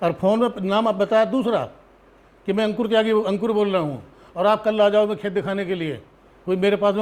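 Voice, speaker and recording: This man's voice sits high. His intonation stays fairly even. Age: 60s. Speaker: landowner complaining about land grab. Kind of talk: interview testimony.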